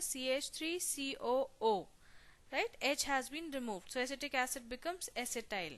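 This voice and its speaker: A woman speaks with lively intonation in a high pitch, her tone bright and sharp. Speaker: pharmacy teacher. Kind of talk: lecture.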